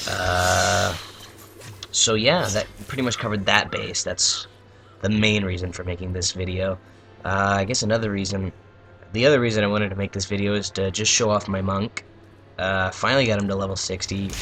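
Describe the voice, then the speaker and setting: A man speaks quietly in a fairly low pitch at a fairly quick pace. He leaves long, frequent pauses, with music in the background. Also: fairly even intonation. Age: young. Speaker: gaming YouTuber. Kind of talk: casual gameplay commentary. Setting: at home at night. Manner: halting.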